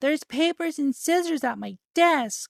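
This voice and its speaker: Using a put-on character voice, a female-sounding speaker talks at a moderate pace and a high pitch. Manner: dumb, airheaded.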